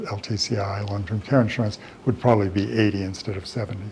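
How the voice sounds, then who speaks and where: A man at a fairly quick pace, fairly even intonation, and noticeable background noise. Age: 70s. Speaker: elder law attorney. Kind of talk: lecture. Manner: casual, conversational with repetitions.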